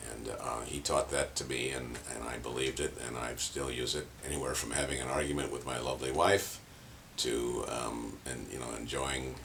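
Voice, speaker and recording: Over noticeable background noise and audible room echo, a man in an American accent speaks at a moderate pace with a very deep, low pitch and monotone, flat intonation. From San Francisco, California. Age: 70s. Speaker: painter and performance artist. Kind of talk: interview monologue. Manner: halting, many fillers.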